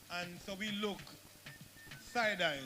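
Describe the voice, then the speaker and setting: A man talks at a moderate pace with fairly even intonation. Music plays in the background. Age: 60s. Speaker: veteran theatre actor. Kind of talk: panel talk at a launch event.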